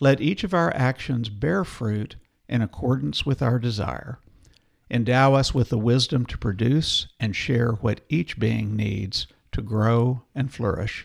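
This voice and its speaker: The voice has a gentle, warm tone and ordinary pitch variation. It moves at a fairly slow pace. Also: man, medium pitch for a man. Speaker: podcast co-host. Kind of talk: casual chat; reading aloud a prayer, solemn and devotional. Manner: slow, reverent, gentle, reading with warm emphasis.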